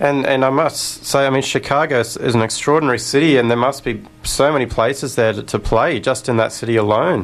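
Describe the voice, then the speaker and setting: With an Australian accent and a medium pitch, a man talks at a fairly quick pace with hardly any pauses and ordinary pitch variation over noticeable background noise. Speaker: radio host. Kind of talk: radio interview.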